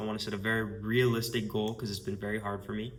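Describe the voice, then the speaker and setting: Fairly quick speech in a space with audible room echo. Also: man. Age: 20s. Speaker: marketing agency owner. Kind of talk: casual vlog monologue. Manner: casual, filler-heavy.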